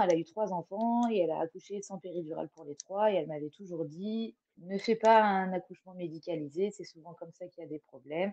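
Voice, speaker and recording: A woman speaks at a fairly quick pace in a dark, mellow tone with big swings in loudness, hardly any pauses, and a dry, close sound with no echo. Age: 30s. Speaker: podcast guest, mother sharing birth story. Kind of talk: testimony.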